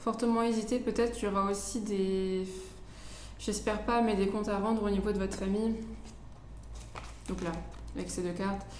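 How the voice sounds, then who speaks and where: Monotone, flat intonation from a woman, with long, frequent pauses, audible room echo and noticeable background noise. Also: medium pitch for a woman. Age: 20s. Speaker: tarot reader. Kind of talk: tarot reading. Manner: hesitant.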